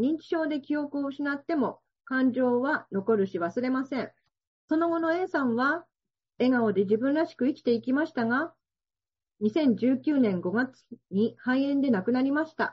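A woman speaks fairly slowly in a high voice. Her intonation is lively. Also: big swings in loudness. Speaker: welfare organization head. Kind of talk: seminar talk. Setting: video call.

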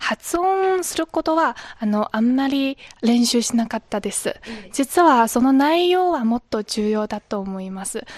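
A woman speaks in a high pitch that swings very widely. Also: fairly slow pace, dry, close sound with no echo. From China. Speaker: university student. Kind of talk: interview.

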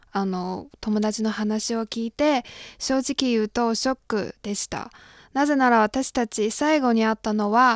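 With a Chinese accent, a woman talks at a fairly slow pace in a fairly high voice, the sound dry and close with no echo and the background quiet. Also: fairly even intonation. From China, Shandong. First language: Chinese (speaking Japanese). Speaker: graduate student of Japanese, intern. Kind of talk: advice-seeking interview, personal story.

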